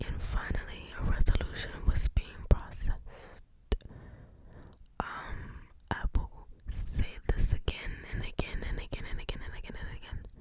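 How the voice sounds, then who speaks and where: Whispering with long, frequent pauses and big swings in loudness, a woman is heard over noticeable background noise. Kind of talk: casual chatty update to camera. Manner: breathy, slow, whispered.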